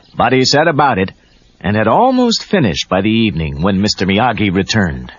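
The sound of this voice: Speaking with big pitch swings, a man has a fairly low pitch and a slightly husky edge. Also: moderate pace.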